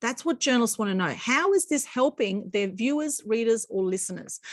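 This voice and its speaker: With an Australian accent, a woman talks at a very fast pace and a fairly high pitch, her intonation lively. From Australia, Sydney northern beaches. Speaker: PR consultant and former journalist. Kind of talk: online masterclass presentation.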